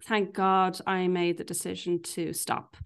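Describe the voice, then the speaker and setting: A woman talks with an Irish accent. The background is quiet. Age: 40s. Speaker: life coach. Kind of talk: casual chat.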